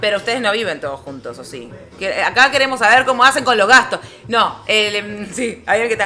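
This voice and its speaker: In a Rioplatense accent, the voice moves at a fairly quick pace with lively intonation and big swings in loudness, against noticeable background noise. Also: woman, fairly high pitch for a woman. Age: 30s. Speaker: podcast co-host. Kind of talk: casual chat.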